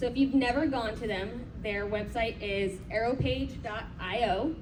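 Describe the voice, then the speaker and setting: There is noticeable background noise behind this woman. Her pitch varies in an ordinary way. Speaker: conference presenter. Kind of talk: conference presentation. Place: hall. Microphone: camera far.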